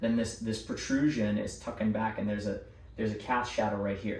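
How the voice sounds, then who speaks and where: Heard with audible room echo, a man with a fairly low pitch talks at a fairly quick pace and keeps his intonation fairly even. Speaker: artist. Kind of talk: drawing tutorial. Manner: casual, with fillers.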